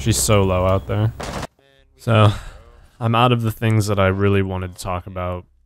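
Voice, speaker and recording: A man with a fairly low voice speaks at a moderate pace, breaking often into long pauses. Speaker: gaming YouTuber. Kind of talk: gameplay commentary. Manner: monotone.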